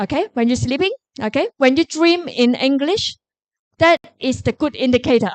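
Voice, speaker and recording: A woman with a Korean accent, high-pitched and animated, with very wide pitch swings, in a dry, close sound with no echo. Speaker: professor. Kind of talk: Q&A answer at a lecture forum.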